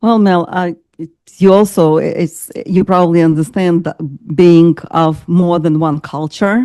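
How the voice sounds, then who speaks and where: At a fairly slow pace, a woman talks in a fairly low pitch with fairly even intonation, her dark, mellow tone captured in a dry, close sound with no echo. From Ukraine, Kyiv. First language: Ukrainian or Russian. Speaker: master coach. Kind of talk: interview. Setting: video call. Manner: hesitant, many fillers.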